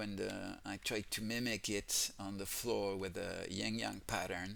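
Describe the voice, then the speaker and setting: A man speaks in a French accent at a very slow pace. The recording is very clean, with a silent background. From France. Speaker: gaming youtuber. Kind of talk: game walkthrough commentary. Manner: halting, many fillers.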